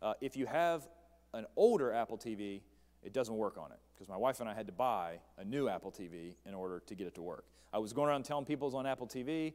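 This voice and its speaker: With an American accent, a man speaks in lively intonation. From West Virginia. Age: 30s. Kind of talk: church presentation. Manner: fast.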